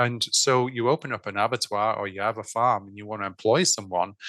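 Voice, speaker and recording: An English-accented man speaks at a medium pitch in a bright, sharp tone with ordinary pitch variation, recorded dry and close with no echo against a quiet background. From England. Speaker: food systems consultant. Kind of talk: podcast interview. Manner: halting, many fillers and restarts.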